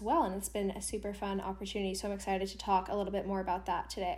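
A speaker with an American accent is heard with audible room echo. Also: woman. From US Pacific Northwest, Seattle. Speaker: university student. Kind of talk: casual interview. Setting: remote recording.

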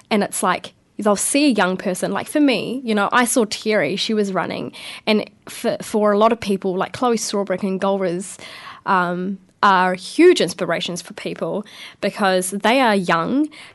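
Speaking with a New Zealand accent, a woman uses a medium pitch with ordinary pitch variation at a moderate pace. The background is quiet. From New Zealand, Porirua near Wellington. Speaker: young council candidate. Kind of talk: radio interview. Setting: radio studio.

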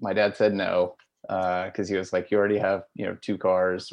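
Keeping a moderate pace, a man with a very deep, low pitch speaks in a monotone, flat intonation. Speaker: moped rider. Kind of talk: casual chat.

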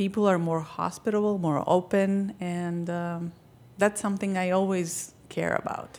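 Speaking in a Greek accent, a woman with a medium pitch delivers her words at a fairly slow pace in a monotone, flat intonation. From Crete, Greece. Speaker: documentary filmmaker. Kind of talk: casual interview chat.

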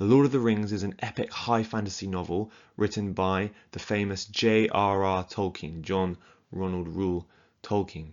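With an English accent, a man talks at a moderate pace in a fairly low pitch, his intonation fairly even. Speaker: podcast host, book reviewer. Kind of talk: solo book review monologue.

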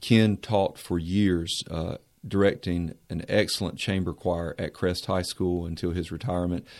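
A man with a Southern US accent speaks in a very deep, low voice at a fairly slow pace, with hardly any pauses. His intonation is fairly even, and the recording is very clean with a silent background. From Mount Airy, North Carolina. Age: 40s. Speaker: university administrator. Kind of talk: radio interview.

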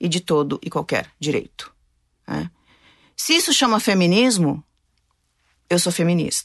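The voice moves through very wide pitch swings. The sound is dry and close with no echo, over a quiet background. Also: woman. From Brazil, interior of Paraná (Maringá). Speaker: city councillor and pastor. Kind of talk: interview.

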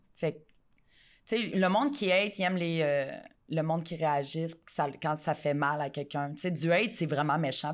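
Using a very deep, low pitch, a woman speaks at a fairly quick pace broken by long, frequent pauses. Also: very clean recording, silent background. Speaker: adult content creator. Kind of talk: casual interview.

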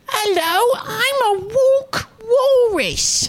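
The speaker uses a put-on character voice at an extremely high pitch. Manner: goofy, exaggerated.

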